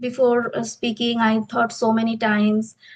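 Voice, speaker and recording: A woman with an Indian accent speaks at a fairly high pitch. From India, Bengal. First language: Bengali. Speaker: English teacher. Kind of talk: interview. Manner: halting.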